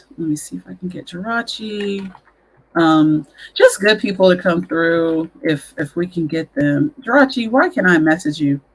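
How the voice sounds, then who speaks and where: This woman speaks with a Southern US accent. Her pitch sits fairly low. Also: lively intonation, moderate pace, big swings in loudness. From US South. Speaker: podcast host. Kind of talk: casual chat.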